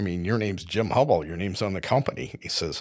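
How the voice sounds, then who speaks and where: A man with a Midwestern US accent talks at a very fast pace, his fairly low voice showing ordinary pitch variation. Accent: US Midwest. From Iowa. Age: 70s. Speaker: retired company executive. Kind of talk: interview conversation. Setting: studio.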